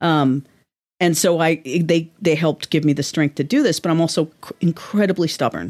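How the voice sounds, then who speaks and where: Heard with a dry, close sound and no echo, a woman with an American accent has a plain, everyday voice, fairly low in pitch with ordinary pitch variation, at a moderate pace. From New York City (Manhattan). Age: 50s. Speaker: novelist. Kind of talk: interview. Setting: office.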